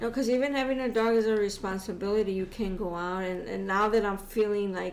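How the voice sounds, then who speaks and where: With an American accent, a woman talks very fast at a medium pitch and fairly even intonation, her voice carrying audible room echo. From Chicago. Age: 50s. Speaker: podcast guest, host's mother. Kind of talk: casual chat.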